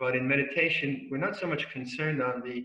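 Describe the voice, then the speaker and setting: In a room with audible echo, a man speaks at a moderate pace and medium pitch with fairly even intonation. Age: 70s. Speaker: Buddhist monk and meditation teacher. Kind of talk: dharma talk. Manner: halting.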